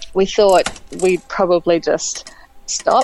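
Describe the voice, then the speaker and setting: With music playing in the background, a woman with a fairly low pitch speaks in an Australian accent. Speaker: interviewee sharing IVF story. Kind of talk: casual interview. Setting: phone call.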